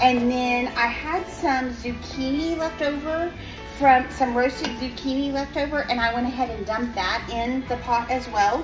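With clear music in the background, a woman speaks at a moderate pace in a high pitch. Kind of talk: cooking tutorial. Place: kitchen. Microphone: phone near.

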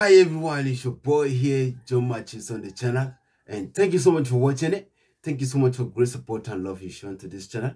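Somewhat breathy and with lively intonation, a man speaks at a fairly quick pace over a quiet background. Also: big swings in loudness. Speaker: reaction channel host. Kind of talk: casual vlog chat. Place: home room.

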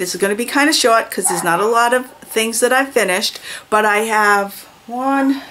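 Light background noise accompanies a woman speaking at a fairly quick pace. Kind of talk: casual vlog chat. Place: home room. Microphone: phone near.

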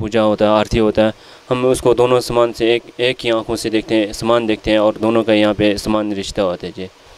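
A man talks at a moderate pace with fairly even intonation, and the sound is dry with no echo. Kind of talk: interview answer. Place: church. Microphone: handheld.

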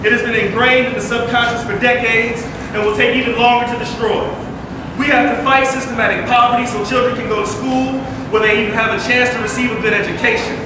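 Amid noticeable background noise and strong room echo, a man speaks very fast in a raised, projected voice with an extremely high pitch and monotone, flat intonation. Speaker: rally speaker. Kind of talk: rally speech.

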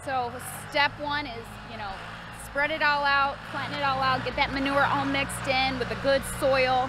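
A woman's raised, projected voice comes through dry with no echo, over noticeable background noise. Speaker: farmer vlogger. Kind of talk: casual vlog chat. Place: farm machine. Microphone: phone near.

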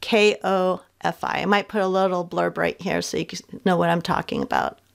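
A woman is speaking. The background is quiet. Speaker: craft video creator. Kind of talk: casual vlog chat. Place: home room.

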